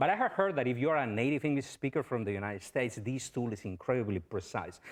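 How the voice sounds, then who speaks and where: A man with a strong Spanish accent at a very fast pace, medium pitch and lively intonation, against a quiet background. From Spain. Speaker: professor. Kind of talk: lecture.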